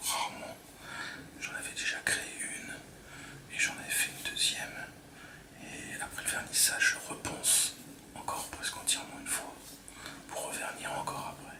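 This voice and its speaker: Whispering at a fairly slow pace, a man leaves long, frequent pauses amid noticeable background noise. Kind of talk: ASMR whispered talk to camera. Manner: whispered.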